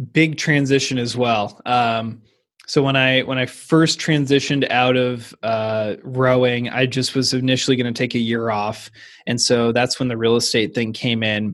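Against a quiet background, a man with an American accent speaks at a moderate pace. His pitch is medium and his intonation fairly even. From US Pacific Northwest, Seattle area. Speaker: Olympic rower turned realtor. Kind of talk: interview.

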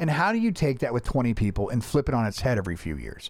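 The recording is very clean, with a silent background. A man with an American accent speaks in an animated tone, his pitch swinging very widely. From Florida, US. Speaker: podcast host. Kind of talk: casual chat.

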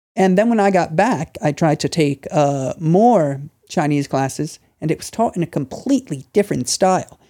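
The speaker talks with an American accent. The pace is moderate. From United States. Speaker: English teacher and Chinese history scholar. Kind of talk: casual interview. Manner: formal.

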